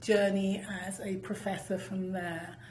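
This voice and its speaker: A woman at medium pitch speaks at a fairly slow pace, with audible room echo and noticeable background noise. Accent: British. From United Kingdom. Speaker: professor, former journalist. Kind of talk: interview. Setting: studio.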